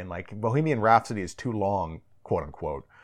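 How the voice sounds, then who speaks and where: A man with an American accent speaks with very wide pitch swings over a quiet background. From US, Northern Virginia / DC suburbs. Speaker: author and translator. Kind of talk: casual interview.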